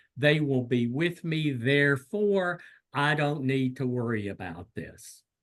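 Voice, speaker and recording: Fairly high male voice in a Southern US accent, fairly slow, with lively intonation. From US South. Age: 60s. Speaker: clinical psychologist. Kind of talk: lecture. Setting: video call.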